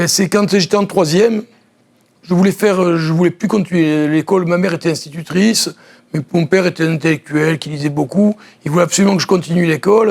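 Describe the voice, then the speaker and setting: Speaking at a fairly quick pace, a man uses a high pitch and fairly even intonation. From southern France, Nice. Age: 60s. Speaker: former judoka and judo coach. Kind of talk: TV interview.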